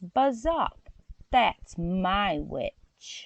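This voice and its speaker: Putting on a character voice, a woman growls in a croaky tone at medium pitch. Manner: fierce, commanding.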